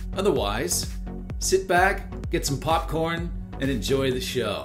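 Over clear music in the background, a man speaks at a very slow pace. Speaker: professional voice actor. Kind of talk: casual intro to camera. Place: home room. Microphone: webcam.

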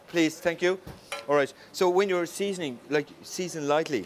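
In an Irish accent, the speaker talks at a moderate pace with ordinary pitch variation. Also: man. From Ireland. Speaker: chef. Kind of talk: cooking class demonstration. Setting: restaurant kitchen in full operation. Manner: animated.

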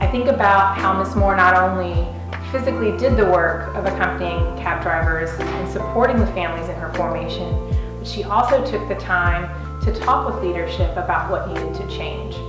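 A woman speaks at a moderate pace. Clear music plays behind her, and the room echo is audible. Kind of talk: interview answer. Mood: earnest, admiring.

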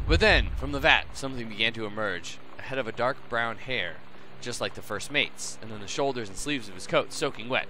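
A passage is read aloud in a natural voice.

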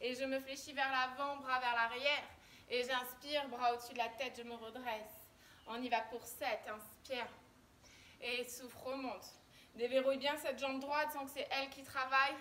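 A woman's raised, projected voice in a flat monotone, with long, frequent pauses. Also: moderate pace. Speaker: fitness instructor. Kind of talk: workout instruction. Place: garden. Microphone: camera far.

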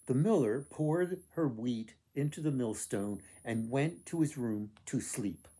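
Lively intonation runs through the delivery. It is plain reading aloud.

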